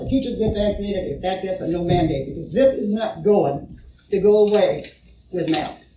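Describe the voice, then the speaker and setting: Audible room echo surrounds a woman speaking at a medium pitch. She talks very fast with ordinary pitch variation. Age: 70s. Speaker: public commenter, grandmother. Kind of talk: public comment at school board meeting. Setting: board meeting room.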